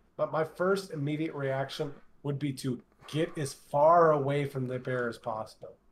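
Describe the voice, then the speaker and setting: In an American accent, a man talks in a somewhat breathy voice. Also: ordinary pitch variation, moderate pace. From United States. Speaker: podcast co-host. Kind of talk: casual chat.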